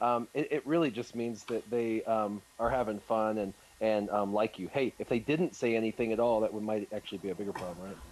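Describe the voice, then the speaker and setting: A plain, everyday voice with an American accent, fairly quick and with hardly any pauses. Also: man, medium pitch for a man, ordinary pitch variation. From United States. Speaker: gaming content creator. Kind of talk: live stream Q&A chat.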